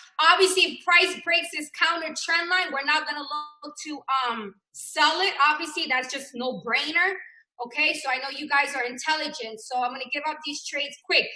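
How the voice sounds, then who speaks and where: Raising and projecting her high-pitched voice, a woman speaks at a moderate pace with ordinary pitch variation. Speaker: forex trading teacher. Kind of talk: live trading tutorial.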